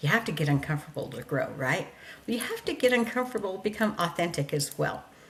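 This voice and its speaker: A woman with an animated tone and lively intonation. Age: 60s. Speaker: podcast host. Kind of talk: motivational talk. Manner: loud.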